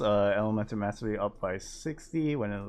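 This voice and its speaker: A man mumbling at a moderate pace. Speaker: gaming content creator. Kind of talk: game patch notes overview.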